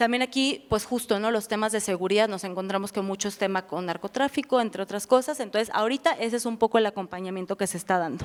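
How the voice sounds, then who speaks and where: A woman's voice at a medium pitch, very fast in pace. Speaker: refugee protection officer. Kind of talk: lecture.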